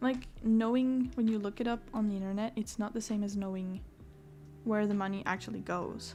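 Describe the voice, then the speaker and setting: A woman's somewhat breathy voice at medium pitch, dark and mellow in tone, with fairly even intonation and a moderate pace. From France. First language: French. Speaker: artist streamer. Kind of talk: casual chat. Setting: livestream.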